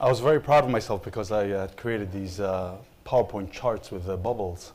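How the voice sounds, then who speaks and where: A man speaks fairly quickly with an Israeli accent. His fairly low pitch shows ordinary variation. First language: Hebrew. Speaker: opinion researcher. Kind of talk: panel presentation.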